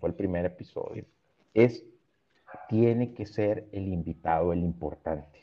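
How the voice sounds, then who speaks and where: A man talks with long, frequent pauses. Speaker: creative agency director. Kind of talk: casual interview.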